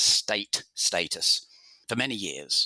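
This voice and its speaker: A man with an English accent is heard in a dry, close recording with no echo. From England, London. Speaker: author and journalist. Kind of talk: interview.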